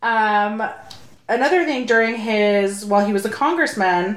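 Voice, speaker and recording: A woman with an American accent speaks at a fairly slow pace and a fairly high pitch, with audible room echo and noticeable background noise. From Sacramento, California. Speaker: podcast co-host. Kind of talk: casual chat. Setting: home recording.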